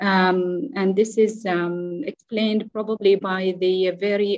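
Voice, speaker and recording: A woman speaks with an Arabic accent and fairly even intonation. The sound is dry with no echo, and the background is quiet. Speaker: clinical geneticist. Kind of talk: conference talk. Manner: halting. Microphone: video call.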